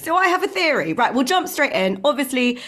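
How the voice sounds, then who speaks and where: An animated tone with very wide pitch swings. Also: woman. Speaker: podcast host. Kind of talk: casual chat. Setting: video call. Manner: animated, chatty.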